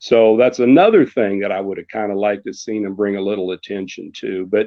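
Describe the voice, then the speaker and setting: A man with an American accent talks in an unremarkable speaking voice at a fairly low pitch. He keeps a fairly quick pace and fairly even intonation. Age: 60s. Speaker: radio sports announcer. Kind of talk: casual chat.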